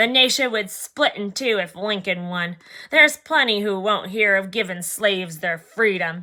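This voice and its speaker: Using a put-on character voice, a woman with a medium-pitched voice speaks at a moderate pace on a very clean recording with a silent background. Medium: read story. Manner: huffy.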